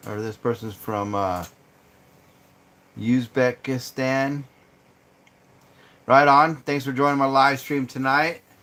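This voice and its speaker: A man with an American accent speaks at a very slow pace in a bright, sharp tone, with long, frequent pauses. The recording is very clean, with a silent background. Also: medium pitch for a man, ordinary pitch variation. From Arizona. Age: 50s. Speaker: outdoors YouTuber. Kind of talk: live stream chat with viewers. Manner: casual, relaxed.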